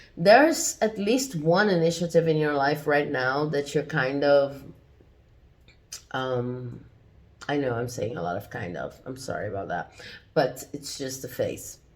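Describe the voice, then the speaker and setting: Speaking at a fairly slow pace with long, frequent pauses, a woman uses a very deep, low pitch, lively intonation, vocal fry and big swings in loudness. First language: not English. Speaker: tarot reader. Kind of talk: tarot reading. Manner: hesitant, many fillers.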